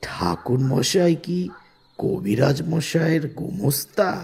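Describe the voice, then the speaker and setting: A man uses a raspy, put-on character voice with a fairly high pitch. He talks at a very slow pace with ordinary pitch variation. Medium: audio drama. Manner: probing, inquisitive.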